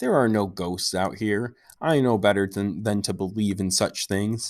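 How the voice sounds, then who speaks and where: A man does a put-on character voice, fairly low in pitch and shaky, at a moderate pace with fairly even intonation. The recording is very clean, with a silent background. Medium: read story. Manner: fearful, shaky.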